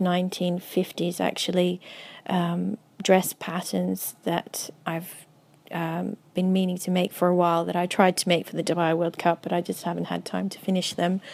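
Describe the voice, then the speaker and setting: A woman with an Australian accent speaks at a moderate pace with a fairly low pitch. Her intonation is monotone and flat. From Australia (Melbourne). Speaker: milliner. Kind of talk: interview. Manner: halting, many fillers.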